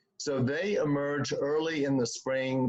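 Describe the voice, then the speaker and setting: A man talks fairly slowly in a fairly high register. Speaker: community garden volunteer presenter. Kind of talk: slide presentation. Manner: halting, many fillers.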